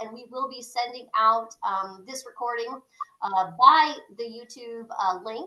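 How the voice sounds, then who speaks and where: Delivered at a fairly slow pace, an ordinary speaking voice shows ordinary pitch variation and big swings in loudness. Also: woman, fairly high pitch for a woman. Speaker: real estate broker and group leader. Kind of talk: meeting host introduction.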